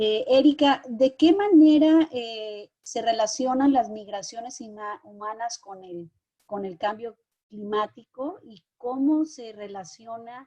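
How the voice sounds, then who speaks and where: A woman talks at a very slow pace in a fairly high pitch, her tone dark and mellow. Her pitch varies in an ordinary way while her loudness swings widely. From Mexico. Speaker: moderator. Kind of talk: online panel moderation.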